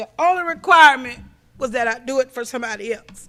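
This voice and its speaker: Raising and projecting her high voice, a woman sounds tearful, her tone bright and sharp. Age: 50s. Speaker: recovery convention speaker. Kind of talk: testimony. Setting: stage with audience. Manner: emotional, tearful.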